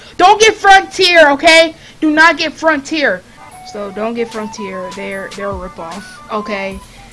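Clear music plays in the background. A woman speaks at a fairly slow pace. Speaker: gaming vlogger. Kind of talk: casual vlog chat. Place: home room. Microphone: studio mic.

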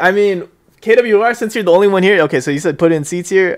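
With a quiet background, a man speaks at a fairly quick pace. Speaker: streamer, podcast host. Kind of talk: casual livestream chat. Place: home room.

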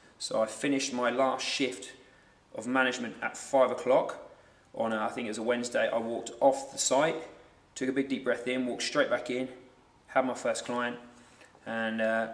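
A man talks at a moderate pace while audible room echo carries his words. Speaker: guest. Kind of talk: interview answer. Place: gym.

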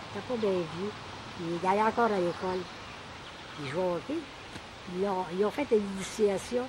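Over noticeable background noise, a woman talks at a fairly slow pace with long, frequent pauses. Her medium pitch shows ordinary variation. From Quebec. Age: 80s+. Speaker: elderly relative sharing family memories. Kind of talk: casual storytelling. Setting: cottage. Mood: animated, reminiscing. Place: garden.

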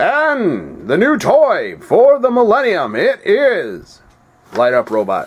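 At a very slow pace, a put-on character voice delivers the lines. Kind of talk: put-on announcer voice.

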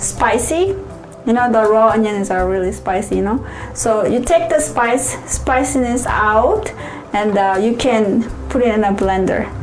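A woman speaks at a fairly slow pace. Audible room echo and clear music fill the background. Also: ordinary pitch variation. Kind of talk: cooking tutorial. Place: kitchen.

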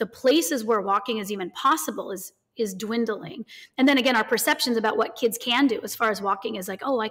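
Against a quiet background, a woman speaks at a fairly quick pace. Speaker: remote podcast guest. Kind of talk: interview answer. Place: home room. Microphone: earbuds.

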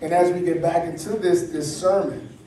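A man speaks at a high pitch. Light background noise and audible room echo can be heard. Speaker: pastor. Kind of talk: prayer then sermon. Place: church.

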